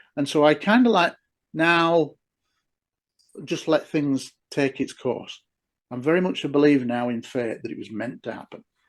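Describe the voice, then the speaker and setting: Over a quiet background, a man with an English accent speaks at a moderate pace and a fairly high pitch, with lively intonation, big swings in loudness, and long, frequent pauses. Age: 60s. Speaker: former police detective and UFO researcher. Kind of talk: interview conversation.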